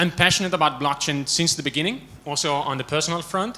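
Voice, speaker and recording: A man speaks with an Italian accent and a bright, sharp tone. His pitch varies in an ordinary way. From Italy. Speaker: management consultant. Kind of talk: conference talk. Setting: stage with audience. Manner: many filler words.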